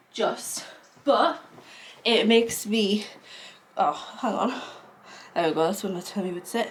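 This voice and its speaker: A woman's medium-pitched voice at a fairly slow pace, lively intonation, long and frequent pauses, and noticeable background noise. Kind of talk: casual talk to camera.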